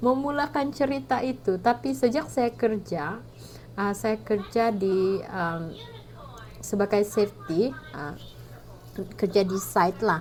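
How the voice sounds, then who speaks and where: In a strong Sabahan accent, the speaker goes at a very slow pace with long, frequent pauses. The voice has very wide pitch swings, with noticeable background noise behind it. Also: woman, medium pitch for a woman. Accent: thick Sabahan Malay. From Sabah, Malaysia. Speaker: vlogger. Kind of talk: casual vlog talk. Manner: hesitant, many fillers.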